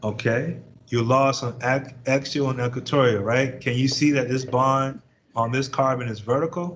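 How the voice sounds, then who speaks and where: A man speaks at a medium pitch with a somewhat breathy voice and fairly even intonation. Room echo can be heard around him. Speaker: chemistry professor. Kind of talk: lecture. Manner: fast.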